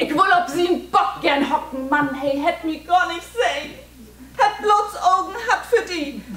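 A woman with a Low German accent, very slow pace and audible room echo. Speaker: poet performing own poem. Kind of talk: poetry reading. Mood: warm, nostalgic, expressive. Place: hall. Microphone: camera far.

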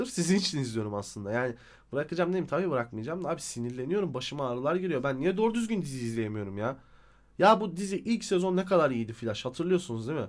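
A man speaks in an animated tone at a very fast pace, his fairly high voice making very wide pitch swings. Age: 30s. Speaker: YouTuber, TV series reviewer. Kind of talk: casual video review monologue.

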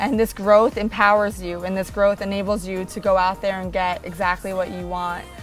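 At a moderate pace and with hardly any pauses, a woman speaks in monotone, flat intonation, the sound dry with no echo and faint music in the background. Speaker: interview guest. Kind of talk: interview answer. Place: garden.

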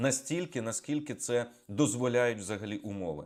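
In a plain, everyday voice, a man speaks at a moderate pace with lively intonation on a very clean recording with a silent background. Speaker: military analyst. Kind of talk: news briefing monologue.

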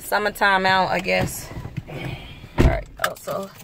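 Noticeable background noise accompanies a woman talking fairly slowly, the sound dry with no echo. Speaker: vlogger. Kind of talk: casual vlog chat.

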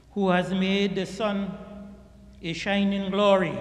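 A man talks at a very slow pace in a high pitch, with monotone, flat intonation. Audible room echo fills the recording. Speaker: imam. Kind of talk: sermon. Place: church. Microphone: podium.

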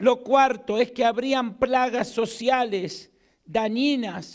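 Very slow pace from a man with an Argentine accent, fairly even intonation, over a quiet background. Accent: Argentine Spanish, noticeable. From Argentina. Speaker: pastor. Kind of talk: sermon. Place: church. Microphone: handheld.

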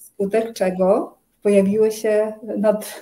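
Speaking very slowly in a Ukrainian accent, a woman uses a monotone, flat intonation and a fairly high pitch with a dark, mellow tone. The background is quiet. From Ukraine. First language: Ukrainian (speaking Polish). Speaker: Ayurveda consultant; interviewee. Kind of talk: interview conversation. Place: home room.

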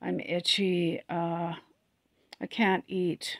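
A woman speaks with a fairly low pitch and audible vocal fry. Her intonation is monotone and flat. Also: dry, close sound with no echo.

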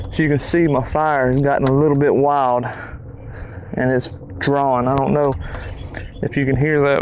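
A man speaks in a dry sound with no echo. Noticeable background noise runs underneath. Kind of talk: tutorial. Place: garden. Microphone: lapel.

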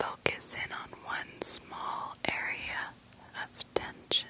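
A woman is whispering in a calm tone. Noticeable background noise can be heard. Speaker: ASMR creator. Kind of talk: guided sleep relaxation. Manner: whispered; slow, calm.

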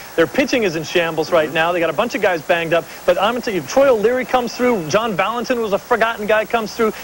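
A man with a high voice talks at a very fast pace with hardly any pauses. His intonation is lively, and there is light background noise. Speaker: baseball analyst. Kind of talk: sports analysis. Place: studio. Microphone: lapel.

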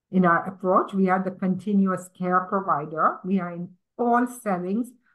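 A woman at a fairly slow pace, somewhat breathy. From Tanzania. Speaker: nursing leader in government; guest. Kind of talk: panel discussion. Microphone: video call.

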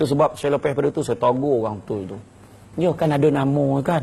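An animated tone with lively intonation at a fairly quick pace. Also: man. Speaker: religious preacher. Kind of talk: sermon.

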